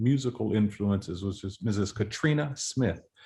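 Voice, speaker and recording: A man speaks at a fairly quick pace, somewhat breathy. His pitch varies in an ordinary way. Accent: American. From Florida. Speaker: composer and choral conductor. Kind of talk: interview. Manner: conversational, with frequent fillers and restarts.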